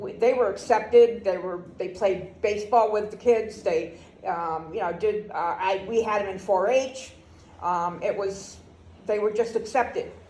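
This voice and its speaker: With audible room echo, a woman with an American accent speaks fairly slowly at a medium pitch, her tone dark and mellow and her pitch variation ordinary. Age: 70s. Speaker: grandparent interviewee. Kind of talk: oral history interview.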